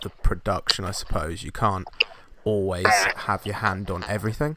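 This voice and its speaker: A moderate pace with a British accent. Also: man. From UK. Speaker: podcast host, photographer. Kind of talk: casual interview chat. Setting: video call.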